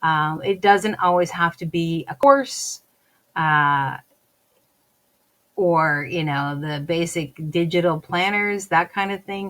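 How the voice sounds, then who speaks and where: In a very clean recording with a silent background, a woman with a fairly low pitch speaks very slowly, with long, frequent pauses. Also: ordinary pitch variation. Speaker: podcast host. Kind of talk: solo podcast talk. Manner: hesitant, many fillers.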